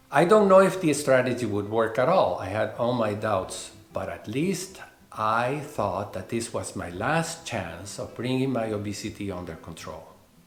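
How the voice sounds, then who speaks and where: A man with a Spanish accent talks at a moderate pace in a medium pitch, with very wide pitch swings and big swings in loudness. Noticeable background noise and audible room echo fill the recording. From Venezuela. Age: 60s. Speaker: veterinarian and health vlogger. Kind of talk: personal testimony narration.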